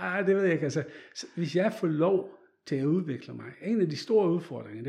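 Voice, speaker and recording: The voice has a dark, mellow tone and lively intonation at a moderate pace. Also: man. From Netherlands. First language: Dutch (speaking Danish). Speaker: photographer. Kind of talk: interview. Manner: halting.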